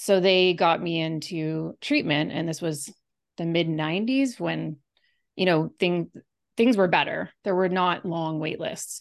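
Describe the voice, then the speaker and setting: Against a quiet background, a woman with a fairly low pitch speaks at a moderate pace in a normal speaking voice. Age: 40s. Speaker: health researcher and author. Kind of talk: interview.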